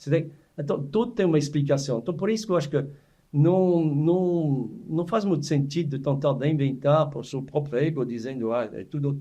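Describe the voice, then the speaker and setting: A man speaks at a moderate pace with a dark, mellow tone and a somewhat breathy quality. His fairly high pitch shows ordinary variation. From France (Savoie). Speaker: chef. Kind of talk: casual chat. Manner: halting.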